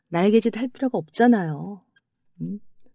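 On a very clean recording with a silent background, a woman with lively intonation speaks at a medium pitch. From South Korea, Paju. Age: 50s. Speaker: retiring schoolteacher. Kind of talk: casual chat.

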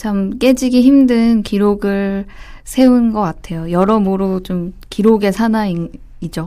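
A woman's dark, mellow voice at a medium pitch and a very slow pace. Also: ordinary pitch variation. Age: 20s. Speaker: football reporter, panelist. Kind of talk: casual chat.

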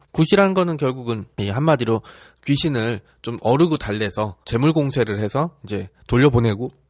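The recording is very clean, with a silent background. A man uses an unremarkable speaking voice at medium pitch, with lively intonation and a moderate pace. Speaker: history podcast host. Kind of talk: casual history storytelling. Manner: conversational, chatty.

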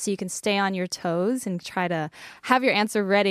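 A woman's voice is heard in a dry, close sound with no echo. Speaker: radio host. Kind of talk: casual radio chat. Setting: radio studio.

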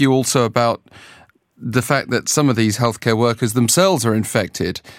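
Here a man talks at a moderate pace with a British accent. The recording is very clean, with a silent background. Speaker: news interviewer. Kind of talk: news interview.

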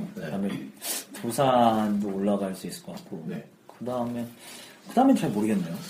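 Noticeable background noise sits behind a man talking at a fairly quick pace, broken by long, frequent pauses. His loudness swings widely and his pitch swings very widely. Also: medium pitch for a man. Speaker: musician. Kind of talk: casual chat. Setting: studio.

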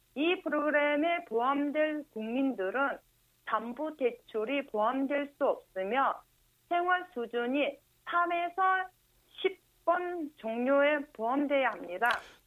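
A woman talks at a very slow pace and a high pitch, with lively intonation. Her loudness stays very even. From Mongolia. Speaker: Mongolian correspondent. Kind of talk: news reading.

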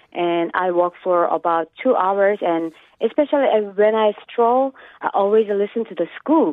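A woman talks at a fairly slow pace. Her medium-pitched voice has lively intonation. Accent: Korean. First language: Korean. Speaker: caller, housewife. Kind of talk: radio interview. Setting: phone call.

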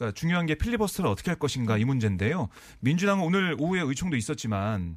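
A man with a fairly high pitch talks at a very fast pace, his pitch swinging very widely. The recording is very clean, with a silent background. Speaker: political reporter. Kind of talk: news analysis interview.

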